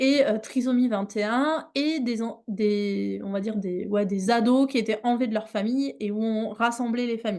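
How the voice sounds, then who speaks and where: Her fairly high voice moves with ordinary pitch variation as the woman speaks at a moderate pace. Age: 30s. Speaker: animal mediation trainer. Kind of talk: online workshop presentation. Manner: hesitant, many fillers.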